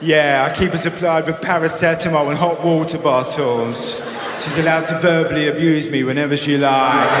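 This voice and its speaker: A man with a fairly high pitch speaks in an East London accent. Noticeable background noise runs behind him. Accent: East End London. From East End of London. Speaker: stand-up comedian. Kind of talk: stand-up comedy routine. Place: stage. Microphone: handheld.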